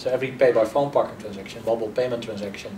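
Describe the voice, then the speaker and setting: Noticeable background noise and audible room echo surround this man. He speaks with a European accent at a medium pitch. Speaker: marketing executive. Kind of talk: interview. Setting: conference.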